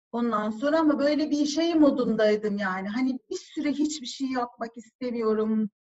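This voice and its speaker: Talking with hardly any pauses, a woman uses a high pitch with ordinary variation. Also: moderate pace. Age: 40s. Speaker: marketing executive. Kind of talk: casual chat. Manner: animated.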